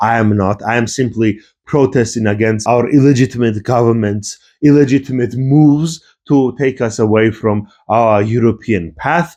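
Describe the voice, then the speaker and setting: A man speaks at a moderate pace with a Georgian accent, his pitch medium and his pitch variation ordinary. His tone is dark and mellow, and the background is quiet. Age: young. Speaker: YouTuber, history and politics commentator. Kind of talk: rant video, political commentary.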